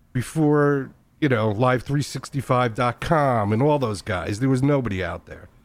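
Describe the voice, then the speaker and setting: A man has an ordinary speaking voice at medium pitch, with ordinary pitch variation. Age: 60s. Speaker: podcaster and internet radio pioneer. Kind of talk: casual interview chat.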